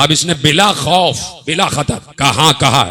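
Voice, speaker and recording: Noticeable background noise sits behind the voice. The talking proceeds at a fairly slow pace. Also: man. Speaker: Shia cleric / religious orator. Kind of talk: religious sermon (majlis). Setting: religious gathering with live audience.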